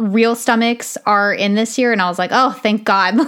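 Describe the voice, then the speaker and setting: Her pitch is medium, with ordinary variation, and the woman keeps a moderate pace. She has an ordinary speaking voice. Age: 30s. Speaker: podcast host. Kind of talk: solo podcast monologue. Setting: home recording, soundproofing taken down.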